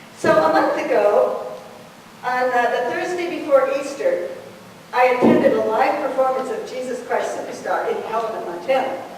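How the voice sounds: A woman talks at a moderate pace and high pitch with ordinary pitch variation. Strong room echo surrounds her voice.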